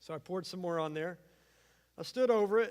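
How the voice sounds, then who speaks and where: An animated man with a Southern US accent on a very clean recording with a silent background. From US South, eastern Arkansas. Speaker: pastor. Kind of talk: sermon. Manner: animated storytelling.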